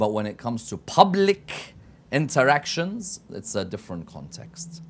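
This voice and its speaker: A man's voice with very wide pitch swings. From London, England. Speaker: TV guest. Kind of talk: TV interview. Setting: TV studio. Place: studio. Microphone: lapel.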